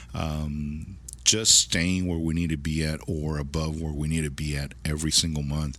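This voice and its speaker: With an American accent, a man speaks in a very deep, low, flat monotone at a moderate pace, with audible room echo. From South Texas. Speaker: used car dealership manager. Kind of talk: casual interview chat. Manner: halting, many repetitions.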